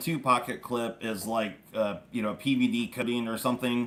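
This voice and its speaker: Male speech at medium pitch, noticeable background noise present. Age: 40s. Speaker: knife channel host. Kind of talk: live stream chat.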